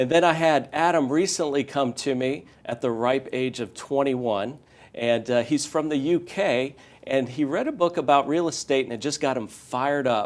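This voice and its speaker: Recorded very cleanly with a silent background, a man with a fairly high pitch and an ordinary speaking voice talks at a moderate pace with ordinary pitch variation. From US, Northern Virginia. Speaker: real estate educator. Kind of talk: interview.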